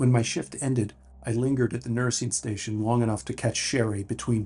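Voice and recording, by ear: Someone is reading aloud in a natural voice. The intonation is fairly even.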